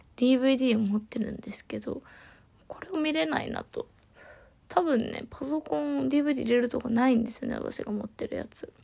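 A woman talks in a high, relaxed voice with lively intonation. Her pace is moderate. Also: big swings in loudness. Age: 30s. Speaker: podcast host. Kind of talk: casual solo monologue.

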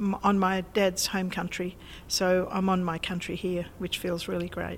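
In an Australian accent, a woman is talking. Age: 70s. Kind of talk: interview. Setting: old packing shed.

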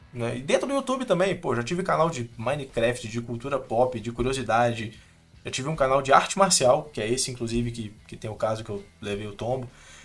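His medium-pitched voice moves fairly quickly, with lively intonation. Music sounds behind the man. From Minas Gerais, Brazil (interior). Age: 20s. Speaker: video editor. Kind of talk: casual interview chat.

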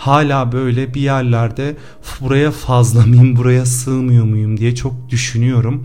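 At a very slow pace, a man of medium pitch talks in a monotone, flat intonation, with audible room echo and noticeable background noise. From Cyprus. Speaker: podcast host, actor. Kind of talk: personal confessional monologue.

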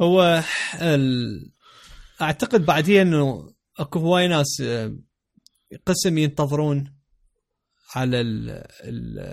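Speaking at a very slow pace, a man leaves long, frequent pauses. His pitch is fairly high, with ordinary variation. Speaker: podcast host. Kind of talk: casual chat.

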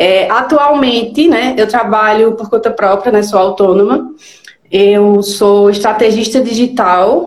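A woman's fairly high voice, very slow, with ordinary pitch variation and audible room echo. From Pernambuco, northeastern Brazil (Garanhuns). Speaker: digital strategist. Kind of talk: live interview.

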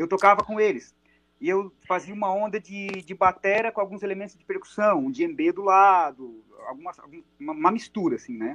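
Dry and close with no echo, a man's high-pitched voice moves at a moderate pace with lively intonation and big swings in loudness. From Brazil, Araranguá (Santa Catarina). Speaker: drummer and percussionist. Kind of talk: casual chat.

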